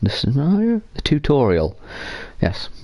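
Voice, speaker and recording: This man speaks with an English accent and a dark, mellow tone. His pace is moderate. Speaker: video game streamer. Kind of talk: gameplay commentary. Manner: loud; casual, rambling.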